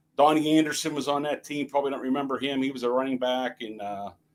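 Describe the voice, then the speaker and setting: This man speaks with a Pittsburgh accent. His pitch sits fairly high. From Pittsburgh area, US. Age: 60s. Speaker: network telecom technician, guest. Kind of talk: casual chat.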